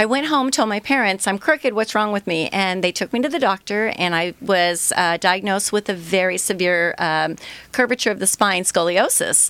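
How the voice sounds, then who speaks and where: A woman with an unremarkable speaking voice talks at a moderate pace. Her intonation is lively, with hardly any pauses. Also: medium pitch for a woman. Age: 60s. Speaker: entrepreneur, product founder. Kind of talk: interview, personal story. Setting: radio studio.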